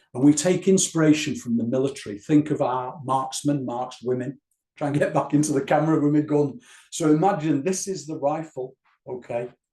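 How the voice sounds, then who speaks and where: Somewhat breathy, the voice shifts in pitch in an ordinary way. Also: man, fairly high pitch for a man. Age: 60s. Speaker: wellbeing trainer, former police officer. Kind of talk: tutorial. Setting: recorded to camera. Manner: slow, guided breathing instructions.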